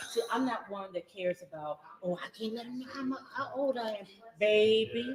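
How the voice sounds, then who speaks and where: A woman with a fairly high-pitched voice talks at a moderate pace in an animated tone with lively intonation, while noticeable background noise runs behind her. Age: 60s. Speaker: online show host. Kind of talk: casual interview. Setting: outdoors.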